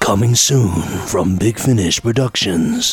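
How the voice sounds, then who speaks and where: In a put-on character voice at medium pitch, a man speaks at a fairly slow pace. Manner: dramatic.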